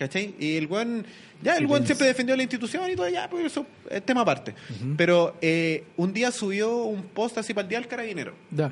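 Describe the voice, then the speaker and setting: A man speaks in a Chilean accent at a fairly quick pace, with a high pitch and very wide pitch swings. There is noticeable background noise. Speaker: youtuber. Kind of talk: casual chat.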